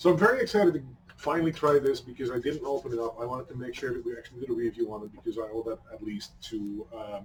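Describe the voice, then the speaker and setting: Over noticeable background noise, a man with a Dutch accent speaks at a very fast pace, his intonation lively and his loudness swinging widely. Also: medium pitch for a man. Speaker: hot sauce reviewer. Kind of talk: casual review chat.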